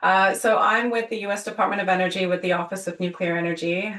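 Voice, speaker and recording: A woman's medium-pitched voice in a British accent, bright and sharp in tone, with fairly even intonation. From UK. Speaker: government energy official. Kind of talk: webinar panel introduction. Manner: halting, many fillers.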